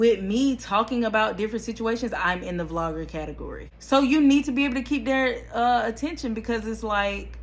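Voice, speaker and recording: A woman with a fairly high, somewhat breathy voice talks at a fairly quick pace with hardly any pauses and ordinary pitch variation. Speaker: YouTuber, vlogger. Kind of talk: casual vlog talk to camera. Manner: animated.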